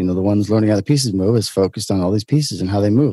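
Speaking with a New York accent, a man has a fairly low pitch and a dark, mellow tone. The sound is dry and close with no echo, in a very clean recording with a silent background. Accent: New York American. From Brooklyn, New York. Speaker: entrepreneur. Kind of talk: interview conversation.

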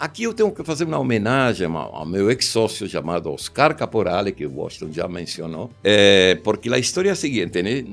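A man with an Argentine accent talks at a fairly quick pace with hardly any pauses. His fairly low pitch moves in very wide swings. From Argentina. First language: Spanish (speaking Portuguese). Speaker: commercial film director. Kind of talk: interview storytelling. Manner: halting.

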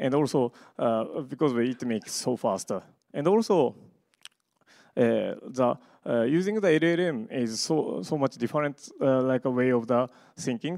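Lively in intonation, a man with a medium pitch talks at a moderate pace on a very clean recording with a silent background, the sound dry and close with no echo. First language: Japanese. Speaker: media artist and computer science researcher. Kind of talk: conference talk. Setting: stage with audience. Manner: halting, many fillers.

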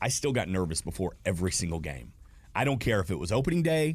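An energetic man with a Southern US accent and very wide pitch swings, in a very clean recording with a silent background. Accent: Southern US (Georgia). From Georgia, US South (Smyrna, near Atlanta). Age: 40s. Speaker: stadium host and former radio host. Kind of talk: casual chat. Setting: studio.

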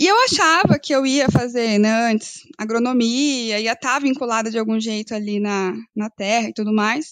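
With an unremarkable speaking voice, a woman talks at a moderate pace and fairly high pitch, with ordinary pitch variation and hardly any pauses. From northern Paraná, Brazil. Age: 30s. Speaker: agribusiness credit analyst, economist. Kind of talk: podcast interview.

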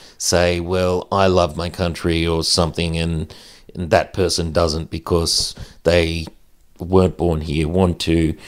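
Very deep, low tones from a man with an Australian accent, monotone and flat, on a very clean recording with a silent background. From Australia, central west New South Wales. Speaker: Paralympic wheelchair athlete and podcaster. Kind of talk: casual chat.

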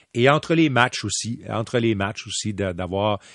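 Fairly low-pitched man's voice, dry and close with no echo, over a quiet background. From Quebec City. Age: 50s. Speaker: hockey play-by-play commentator. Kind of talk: interview. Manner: animated.

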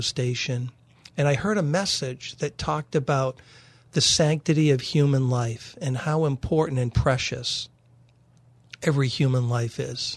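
A man talks at a moderate pace in a fairly high pitch, his voice somewhat breathy. His pitch varies in an ordinary way, and the background is quiet. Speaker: radio programming executive. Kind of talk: radio interview. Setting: studio.

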